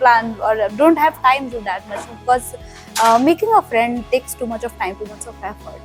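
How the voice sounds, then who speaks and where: Against music in the background, a woman with a fairly high pitch speaks at a moderate pace, her loudness swinging widely. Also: ordinary pitch variation. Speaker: travel vlogger. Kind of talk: podcast interview, casual conversation.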